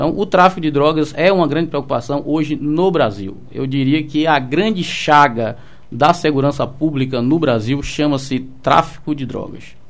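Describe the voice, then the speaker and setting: With ordinary pitch variation and a fairly high pitch, a man talks at a moderate pace. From Salvador, Bahia, Brazil. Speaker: police commander. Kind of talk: radio interview. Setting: radio studio. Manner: halting, many fillers.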